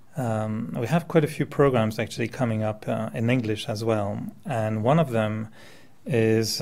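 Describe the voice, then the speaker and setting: A man with a slight French accent, fairly slow in pace, with ordinary pitch variation. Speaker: meditation teacher. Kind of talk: talk to audience. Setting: meditation center with audience.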